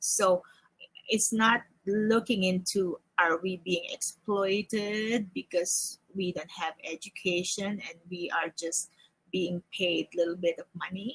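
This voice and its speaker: Very slowly and with fairly even intonation, a woman speaks in a dry, close sound with no echo. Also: medium pitch for a woman. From Philippines. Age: 60s. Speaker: panelist, Filipino immigrant. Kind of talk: panel discussion. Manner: halting with repetitions.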